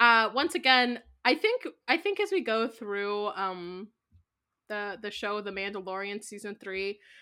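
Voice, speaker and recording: A woman with a normal speaking voice, a fairly high pitch, ordinary pitch variation, big swings in loudness and a fairly slow pace. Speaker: podcast host. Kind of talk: casual chat.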